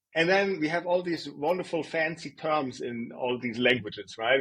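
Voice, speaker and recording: A man with a German accent speaks at a moderate pace. His voice is fairly high-pitched, with lively intonation. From Germany. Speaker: design executive. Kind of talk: interview. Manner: conversational with fillers and repetitions.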